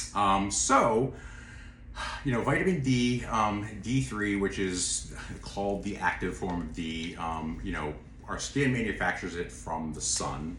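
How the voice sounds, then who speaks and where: The intonation is lively. Room echo can be heard. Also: man, fairly low pitch for a man. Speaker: nutraceutical expert. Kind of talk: casual chat. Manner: fast.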